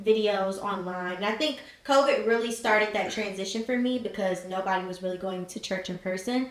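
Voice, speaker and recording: A woman with an American accent speaks at a moderate pace with fairly even intonation, amid noticeable background noise and audible room echo. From Cincinnati, Ohio, US Midwest. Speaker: college student and marketing entrepreneur. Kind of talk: podcast interview. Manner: casual, with frequent fillers.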